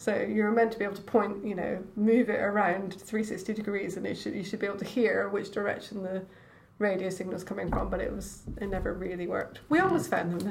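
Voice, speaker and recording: A woman with a Scottish accent at a fairly quick pace, her intonation fairly even, amid audible room echo and noticeable background noise. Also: medium pitch for a woman. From Scotland, Edinburgh. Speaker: oceanographer. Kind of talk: casual chat.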